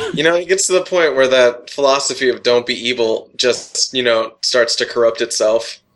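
An ordinary speaking voice, a man with an American accent at medium pitch and moderate pace, with ordinary pitch variation, very even loudness and hardly any pauses. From California. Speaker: programmer. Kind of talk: casual chat.

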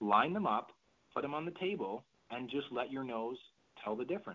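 A fairly quick-paced male voice. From Canada. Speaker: fitness professional and essential oils distributor. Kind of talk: conference call talk. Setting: phone conference call. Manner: fast.

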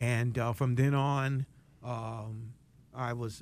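On a very clean recording with a silent background, a man of medium pitch speaks in an American accent with ordinary pitch variation. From West Palm Beach, Florida. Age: 60s. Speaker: fair housing nonprofit executive. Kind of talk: interview. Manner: hesitant, frequent fillers.

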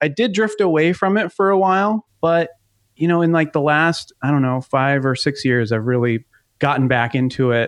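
In a quiet background, a man's speech runs fairly briskly, his pitch moving in an ordinary way. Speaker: fan film creator. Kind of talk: interview. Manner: hesitant, many fillers.

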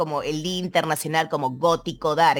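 A woman with a Rioplatense accent talks at a moderate pace. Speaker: radio host. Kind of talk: radio show presenting music, casual and warm. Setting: radio studio.

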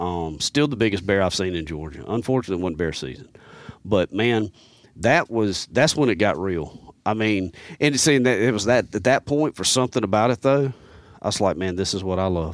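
A man with a Southern US accent speaks at a fairly quick pace and a fairly low pitch in a very clean recording with a silent background. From US South, Mississippi and Alabama. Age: 40s. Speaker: hunter and bow technician. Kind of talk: casual chat. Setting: studio. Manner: animated.

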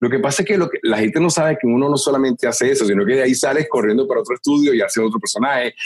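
Over noticeable background noise, a man speaks at a very fast pace with hardly any pauses. His pitch is fairly high, his intonation lively and his loudness very even. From Venezuela. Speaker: voice actor. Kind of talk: interview. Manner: animated.

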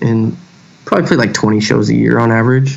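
A man with a Texan accent over noticeable background noise. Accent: Texan American. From Texas, Houston. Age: 30s. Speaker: hardcore band vocalist and author. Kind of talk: casual chat.

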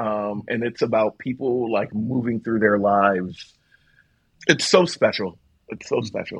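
Speaking fairly slowly, a man with an American accent uses a normal speaking voice at medium pitch with ordinary pitch variation. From South Philadelphia, US. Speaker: theatre director and archivist. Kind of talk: casual chat.

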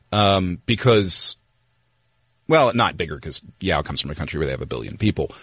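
Very deep, low male speech with vocal fry, very wide pitch swings and a fairly quick pace. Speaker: sports journalist, author of the story. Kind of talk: casual interview conversation. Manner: thoughtful, conversational, with hedging and filler.

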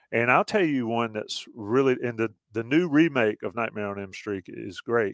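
A man with an American accent has a normal speaking voice, moving at a moderate pace with ordinary pitch variation. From US South. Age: 50s. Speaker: podcast host. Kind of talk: casual chat.

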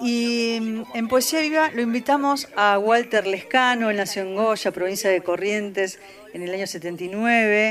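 A woman with a Rioplatense accent, fairly high pitch, ordinary pitch variation and a very slow pace. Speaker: radio host. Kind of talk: radio show hosting. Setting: radio studio.

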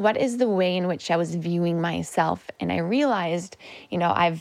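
A woman speaks in a plain, everyday voice at a fairly low pitch and moderate pace, in a very clean recording with a silent background. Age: 30s. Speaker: functional medicine nutritionist. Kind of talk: interview conversation.

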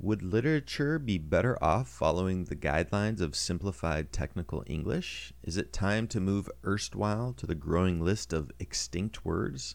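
A man with a very deep, low voice and vocal fry speaks with very wide pitch swings and hardly any pauses. The recording is very clean with a silent background. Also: moderate pace. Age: 40s. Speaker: technical writer and blogger. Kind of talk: reading aloud.

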